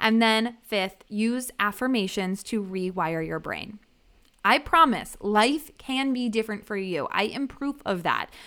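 At a fairly slow pace, the voice has an animated, bright, sharp tone, on a very clean recording with a silent background. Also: woman, fairly high pitch for a woman, ordinary pitch variation. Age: 30s. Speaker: podcast host and business coach. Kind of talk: solo podcast monologue.

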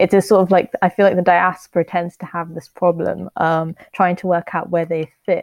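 A woman speaks at a moderate pace with hardly any pauses, her voice fairly low and her intonation monotone and flat. The sound is dry and close, with no echo. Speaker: podcast host. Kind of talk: interview.

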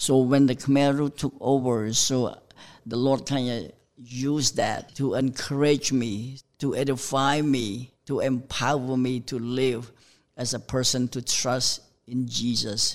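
A man with a Cambodian accent talks at a medium pitch and a fairly slow pace. His intonation is monotone and flat, on a very clean recording with a silent background. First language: Khmer. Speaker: pastor. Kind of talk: testimony. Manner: halting.

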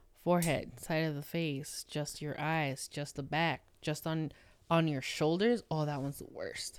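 On a very clean recording with a silent background, a woman with a very deep, low pitch speaks fairly slowly with fairly even intonation. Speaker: guest, friend of the hosts. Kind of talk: casual chat.

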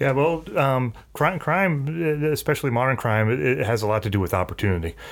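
In an American accent, a man uses a normal speaking voice with lively intonation. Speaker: police chief. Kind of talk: casual interview.

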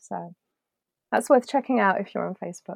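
In a dry, close sound with no echo, a woman with a British accent and a dark, mellow tone talks at a very fast pace. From UK. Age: 40s. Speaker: cartoonist. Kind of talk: casual interview.

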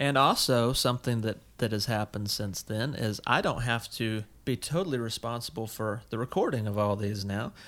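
In a very clean recording with a silent background, a man with an American accent has an ordinary speaking voice, medium pitch, ordinary pitch variation and a moderate pace. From US South, South Carolina. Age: 30s. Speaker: podcast co-host, teacher. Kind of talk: casual chat.

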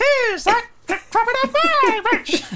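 A squeaky, put-on character voice at an extremely high pitch speaks fairly slowly in a menacing tone. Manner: menacing but silly.

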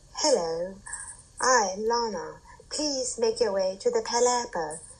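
In a put-on character voice with an English accent, a woman speaks at a high pitch. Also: fairly slow pace. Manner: robotic, smooth, polite.

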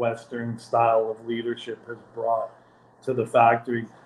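A man's voice at medium pitch. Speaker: cigar maker. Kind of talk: interview. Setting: video call.

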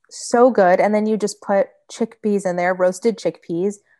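Against a quiet background, a woman with an American accent talks in an ordinary speaking voice at medium pitch and moderate pace. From Michigan. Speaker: vegan food blogger. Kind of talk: casual chat.

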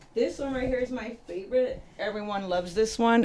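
A woman with an American accent, at a moderate pace. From Los Angeles. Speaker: guest. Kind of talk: casual chat.

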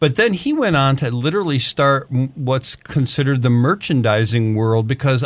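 In a very clean recording with a silent background, a man with an American accent uses a normal speaking voice at a medium pitch, a moderate pace and ordinary pitch variation. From Detroit, US Midwest. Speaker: music promotion veteran, podcast co-host. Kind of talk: casual interview.

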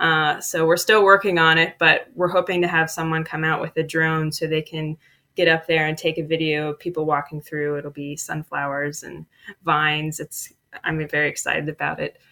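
A woman's very deep, low voice with a Midwestern American accent, bright and sharp in tone, monotone and flat at a moderate pace. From Dayton, Ohio. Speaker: community development worker. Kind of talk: casual interview.

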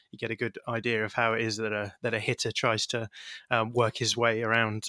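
On a very clean recording with a silent background and a dry, close sound with no echo, a man with an English accent speaks at a fairly quick pace in a bright, sharp tone with monotone, flat intonation. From England. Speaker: baseball podcaster. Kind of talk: interview.

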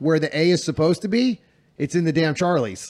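A man talks with an ordinary speaking voice. His pitch is fairly high, with ordinary variation. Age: 40s. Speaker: shooting coach and podcast host. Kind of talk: casual chat. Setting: Airbnb living room, on couches.

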